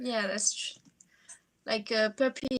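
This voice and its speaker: The speaker talks at a fairly slow pace in a strong French accent. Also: woman. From France. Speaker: fantasy writer, vlogger. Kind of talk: casual chat. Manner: halting.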